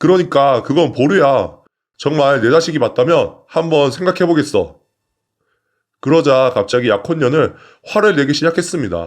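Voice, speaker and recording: In a normal speaking voice, a man with fairly high pitch talks at a moderate pace with ordinary pitch variation and very even loudness, over a quiet background. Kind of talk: story narration read aloud (reading of a submitted personal story).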